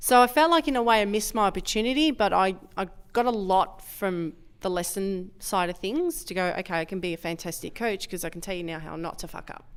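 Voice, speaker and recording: An ordinary speaking voice at a fairly quick pace, with lively intonation and big swings in loudness. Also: woman, medium pitch for a woman. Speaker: powerlifting coach. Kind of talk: podcast interview.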